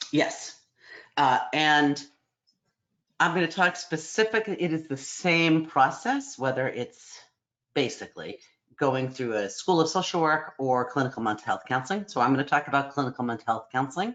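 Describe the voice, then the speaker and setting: This woman's voice sits very deep and low in pitch, yet her intonation stays lively. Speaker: psychology program director. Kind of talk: online information session presentation. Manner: fast.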